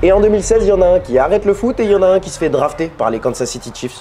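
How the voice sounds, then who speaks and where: The speech moves at a very fast pace against noticeable background noise. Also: man. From Quebec, Montreal. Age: 20s. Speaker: sports YouTuber and commentator. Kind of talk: scripted narration.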